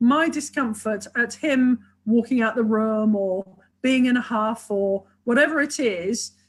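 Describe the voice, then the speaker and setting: Speaking with a British accent, a woman moves at a fairly slow pace with lively intonation. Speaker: sex and relationship therapist, author. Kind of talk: webinar interview. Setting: online video webinar. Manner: enthusiastic, talks a lot.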